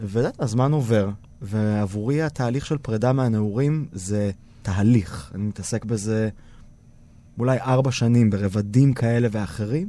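A plain, everyday voice from a man, medium in pitch, at a fairly slow pace with ordinary pitch variation. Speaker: theatre director and TV presenter. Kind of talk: interview. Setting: studio.

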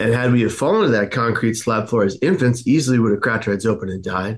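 He speaks with an American accent at a medium pitch. His pace is fairly quick. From San Francisco, US. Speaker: suicide prevention advocate. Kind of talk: interview, personal testimony.

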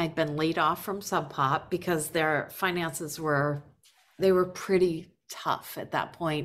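Here a woman speaks with an American accent. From Worcester, Massachusetts. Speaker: record label CEO. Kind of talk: casual interview chat.

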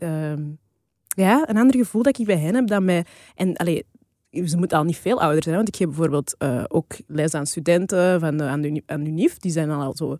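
Dark and mellow in tone, the voice moves at a fairly quick pace with lively intonation and a dry, close sound with no echo. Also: woman, fairly low pitch for a woman. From Flanders, Belgium. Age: 30s. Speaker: podcast co-host. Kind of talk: casual chat.

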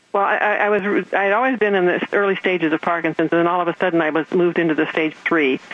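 Over noticeable background noise, a woman speaks at a very fast pace with very even loudness. Her pitch is fairly low, with ordinary variation. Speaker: patient. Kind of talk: testimony. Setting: phone call.

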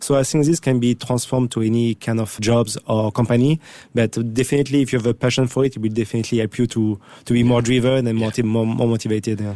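A man talks at a very fast pace in a medium pitch with a dark, mellow tone and monotone, flat intonation. The recording is very clean, with a silent background. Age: 40s. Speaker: entrepreneur, former triathlete. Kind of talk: interview. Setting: studio. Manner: halting.

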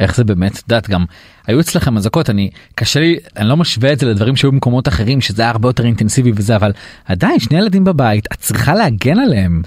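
Against noticeable background noise, a man talks at a very fast pace, medium in pitch with lively intonation. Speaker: podcast host. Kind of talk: podcast interview. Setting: studio.

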